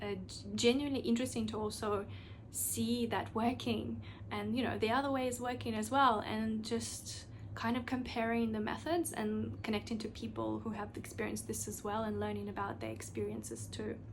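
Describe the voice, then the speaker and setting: Audible room echo accompanies speech at a moderate pace. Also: woman. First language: not English (English is third language). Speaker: podcast host. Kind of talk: solo podcast monologue. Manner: casual, filler-heavy with restarts.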